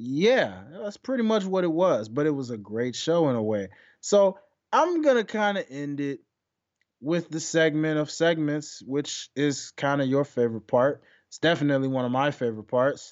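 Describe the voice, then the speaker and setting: In an animated tone, a man with a fairly high pitch speaks at a moderate pace with very wide pitch swings. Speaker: wrestling podcast host. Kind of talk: solo podcast monologue.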